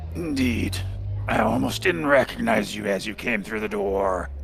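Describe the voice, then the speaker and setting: Over clear music, a man does a put-on character voice that is very deep, low and rumbling, speaking at a moderate pace. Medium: actual play. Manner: measured, maternal, speaks of herself in third person.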